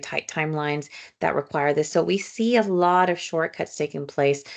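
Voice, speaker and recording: The speaker has a Spanish accent and ordinary pitch variation. The pace is moderate and the background quiet. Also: woman. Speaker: social work professor. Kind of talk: lecture. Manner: fillers and repetitions.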